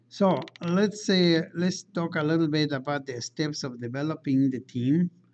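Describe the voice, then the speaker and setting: A man talks fairly slowly, his pitch fairly high and its variation ordinary. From outside the United States. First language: not English. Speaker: engineering lecturer. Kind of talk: lecture. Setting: classroom. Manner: halting, with frequent fillers and restarts.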